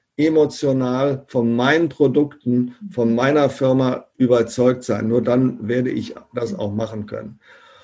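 Speaking at a fairly slow pace, a man has a dark, mellow tone at medium pitch. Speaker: professor and direct sales consultant. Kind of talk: interview.

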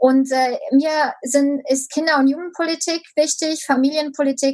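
Her pitch is high. The woman speaks at a very slow pace. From Romania. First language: Romanian (speaking German). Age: 20s. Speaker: local politician. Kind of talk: interview. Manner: hesitant, many filler sounds.

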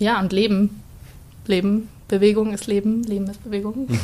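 Somewhat breathy and dark, mellow in tone, a woman's medium-pitched voice moves at a fairly slow pace. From Bavaria, Starnberg. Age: 20s. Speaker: dance student. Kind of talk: casual interview chat.

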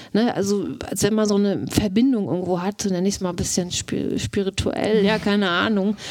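Woman at medium pitch, fairly quick pace and fairly even intonation, with noticeable background noise. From Mecklenburg, northeastern Germany. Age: 40s. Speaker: wife of accused murderer. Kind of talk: interview testimony. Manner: hesitant.

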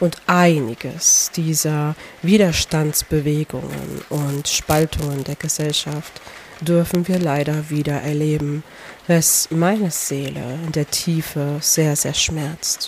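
A woman's very deep, low voice at a very slow pace, with fairly even intonation and noticeable background noise. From Poland. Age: 30s. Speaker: podcast host and life coach. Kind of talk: personal monologue. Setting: outdoors by a lake.

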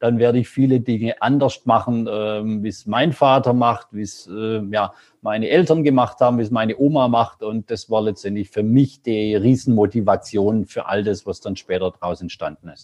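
A man with a plain, everyday voice speaks at a moderate pace and medium pitch, recorded dry and close with no echo against a quiet background. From rural Germany. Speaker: entrepreneur. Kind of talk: interview.

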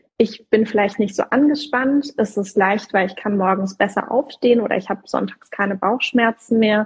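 A woman's somewhat breathy voice at a medium pitch and a fairly slow pace. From southern Germany. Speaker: career coach. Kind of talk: casual chat. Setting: Instagram live video session.

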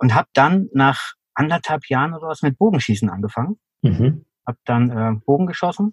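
In a dry, close sound with no echo, a man speaks at a moderate pace in a somewhat breathy, fairly high voice with very wide pitch swings. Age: 50s. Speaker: endurance athlete. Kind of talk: interview.

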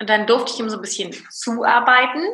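A woman speaks with a fairly high pitch at a fairly quick pace. Her pitch variation is ordinary. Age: 30s. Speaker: business owner and coach. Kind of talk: interview.

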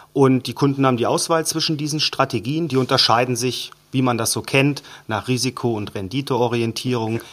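This man has an unremarkable speaking voice, with a medium pitch, fairly even intonation and a moderate pace. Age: 30s. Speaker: bank wealth management head. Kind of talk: interview explanation.

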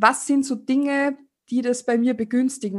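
Speaking at a fairly quick pace in an Austrian accent, a woman keeps a monotone, flat intonation over a quiet background. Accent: Austrian German, tends to slip into dialect. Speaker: sex educator. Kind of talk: interview.

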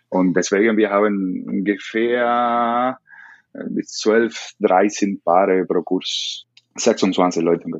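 Very slow delivery with fairly even intonation, in a Spanish accent. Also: man, fairly low pitch for a man. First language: Spanish (speaking German). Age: 30s. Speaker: salsa dance teacher. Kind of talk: interview. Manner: halting.

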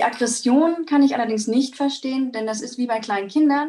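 Somewhat breathy, the voice moves at a very fast pace with ordinary pitch variation. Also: woman. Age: 20s. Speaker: vegan nutrition advisor. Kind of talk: interview answers, explanatory.

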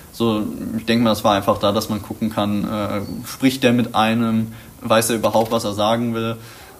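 Over noticeable background noise, a man speaks in a flat monotone. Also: medium pitch for a man, moderate pace. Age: young. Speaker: vocational school student. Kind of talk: interview. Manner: halting, many filler sounds.

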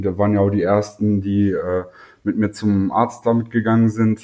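A man talks in a flat monotone at a fairly low pitch. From North Rhine-Westphalia, Germany. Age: 20s. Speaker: YouTuber with psoriasis. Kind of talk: casual interview.

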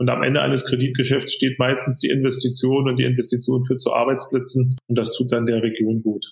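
A man's medium-pitched voice at a fairly quick pace with hardly any pauses, very even loudness, and monotone, flat intonation. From Berlin. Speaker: bank executive. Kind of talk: interview. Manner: hesitant with fillers.

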